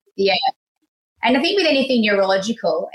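Someone speaks with lively intonation in an Australian accent. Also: woman. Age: 30s. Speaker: stay-at-home mother. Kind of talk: interview.

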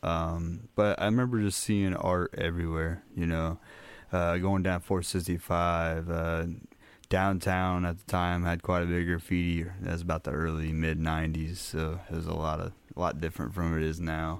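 Someone with an American accent speaks at a moderate pace in monotone, flat intonation, heard in a very clean recording with a silent background. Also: man, very deep, low pitch for a man. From US Midwest, Minneapolis. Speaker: tattoo artist. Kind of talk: casual interview.

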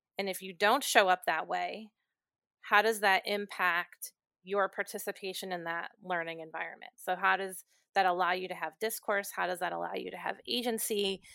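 A woman's bright, sharp tone carries fairly even intonation. The sound is dry and close with no echo, on a very clean recording with a silent background. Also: medium pitch for a woman, moderate pace. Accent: Inland North. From Ohio, near Cleveland. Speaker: college dean of students. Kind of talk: casual interview conversation.

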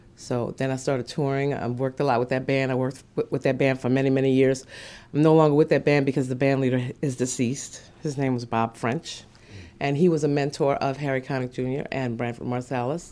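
This woman has a very deep, low pitch and a dark, mellow tone. Her intonation stays monotone and flat. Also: fairly quick pace. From New Orleans. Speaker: jazz singer. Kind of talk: interview.

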